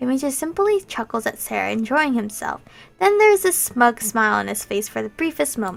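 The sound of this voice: The clip features an unforced reading voice. Someone reads aloud in it.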